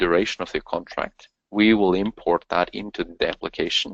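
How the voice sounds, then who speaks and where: A man with a Norwegian accent talks at a moderate pace. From Norway. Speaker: company co-founder. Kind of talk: webinar presentation. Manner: halting.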